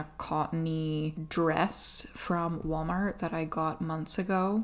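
In an Atlantic Canadian accent, a woman speaks very slowly at a fairly low pitch. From Atlantic Canada. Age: 30s. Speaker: podcast host. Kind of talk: casual solo podcast chat. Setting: at home.

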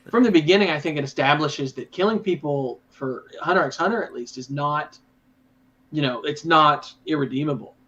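Speaking at a fairly quick pace, a man has a bright, sharp tone, ordinary pitch variation and big swings in loudness. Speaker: anime podcast co-host. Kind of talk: casual chat. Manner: excitable.

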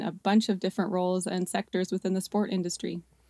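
With a Canadian accent, a woman speaks at medium pitch and a moderate pace in a dark, mellow tone, the sound dry and close with no echo. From Canada. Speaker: sales director. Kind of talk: interview.

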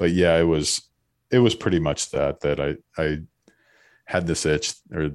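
A man speaks with an American accent in a very deep, low pitch. His intonation stays fairly even. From Florida. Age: 30s. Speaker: former pro baseball pitcher and entrepreneur. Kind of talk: casual interview.

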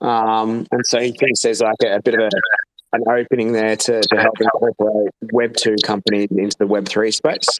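A man at a medium pitch, a normal speaking voice at a moderate pace, dry and close with no echo. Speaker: podcast co-host. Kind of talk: casual chat.

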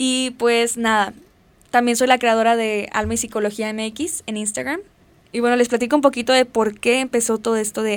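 A woman with a Mexican accent speaks at a moderate pace, her fairly high pitch carried on fairly even intonation. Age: 20s. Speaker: podcast host, psychology student. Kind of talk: casual monologue.

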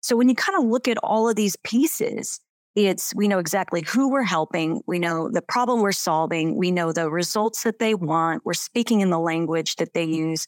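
A woman's plain, everyday voice at medium pitch, lively in intonation, moderate in pace with hardly any pauses, very even in loudness, and recorded with a dry, close sound with no echo. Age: 50s. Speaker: business coach. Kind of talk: interview.

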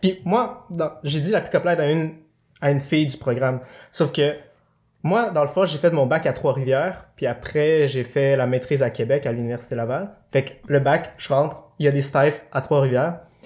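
A somewhat breathy man with a Quebec accent, fairly high pitch, ordinary pitch variation and a moderate pace, on a very clean recording with a silent background. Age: 20s. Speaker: occupational therapy student. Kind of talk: casual chat.

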